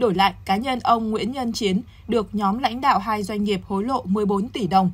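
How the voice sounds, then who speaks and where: A woman speaks at a fairly slow pace in a fairly high, somewhat breathy voice with ordinary pitch variation. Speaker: news anchor. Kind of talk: news reading. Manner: formal.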